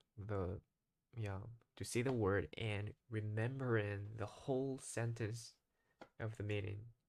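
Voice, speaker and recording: In a Japanese accent, a man speaks fairly slowly and in a fairly low voice, with fairly even intonation and long, frequent pauses. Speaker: English learner vlogger. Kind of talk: casual monologue vlog. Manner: halting, frequent self-corrections.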